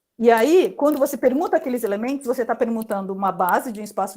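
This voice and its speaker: Lively intonation in a woman's voice, set at a fairly high pitch. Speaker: mathematics professor. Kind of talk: lecture. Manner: halting, many fillers.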